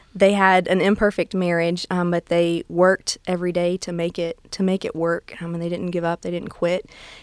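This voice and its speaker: Her intonation monotone and flat, a woman with a Southern US accent speaks at a fairly low pitch and a moderate pace. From US South, south Alabama near Gulf Shores. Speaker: children's ministry manager. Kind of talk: interview. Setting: studio.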